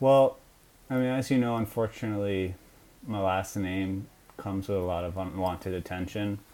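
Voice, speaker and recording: An unremarkable speaking voice, moderate in pace and ordinary in pitch variation. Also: man, fairly low pitch for a man. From Long Island, New York. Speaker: anime fan. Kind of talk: comedic mock interview.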